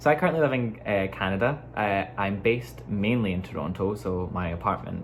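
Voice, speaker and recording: Over music in the background, a man with a very deep, low pitch talks at a fairly quick pace, his voice taking very wide pitch swings amid audible room echo. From Scotland, Glasgow. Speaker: dancer and vlogger. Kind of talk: casual chat. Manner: casual, filler-heavy.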